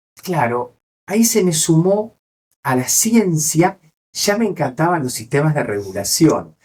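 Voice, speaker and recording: With an Argentine accent, a man speaks at a fairly slow pace. His fairly high pitch moves in very wide swings. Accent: Rioplatense Argentine Spanish. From Argentina. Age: 60s. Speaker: neurologist. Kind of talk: interview.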